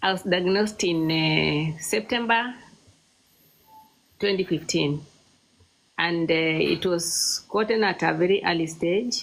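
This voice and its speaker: Amid noticeable background noise, a woman speaks at a fairly slow pace with a fairly low pitch and ordinary pitch variation. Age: 60s. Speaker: cancer survivor. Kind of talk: interview. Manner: halting.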